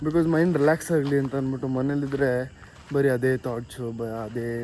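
Against noticeable background noise, a man talks at medium pitch with fairly even intonation. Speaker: vlogger. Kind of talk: casual vlog talk to camera.

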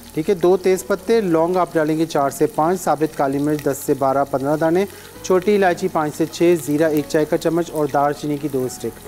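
The speaker moves at a moderate pace with hardly any pauses and ordinary pitch variation while faint music plays in the background. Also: man. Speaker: cooking show host. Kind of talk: tutorial. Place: studio. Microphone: lapel.

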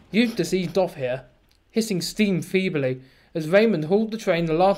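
The pitch moves in an ordinary way. The delivery is an unforced reading voice.

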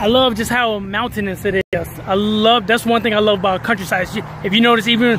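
A man with a high pitch talks at a moderate pace, in a dry sound with no echo, over noticeable background noise. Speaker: travel vlogger. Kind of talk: casual vlog chat. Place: open country. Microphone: phone near.

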